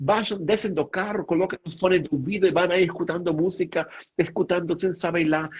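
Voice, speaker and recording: A man with a Spanish accent speaks at a high pitch. His pace is moderate and his pitch variation ordinary. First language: Spanish (speaking Portuguese). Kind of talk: spiritual talk on live stream. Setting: online live stream. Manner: halting, with fillers.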